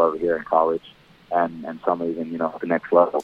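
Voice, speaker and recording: Talking at a very fast pace, a man delivers his words in a very deep, low pitch with monotone, flat intonation. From Australia. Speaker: professional football punter. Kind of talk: interview.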